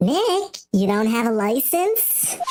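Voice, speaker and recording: Using a put-on character voice, a woman speaks at a fairly high pitch with very wide pitch swings. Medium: virtual streamer.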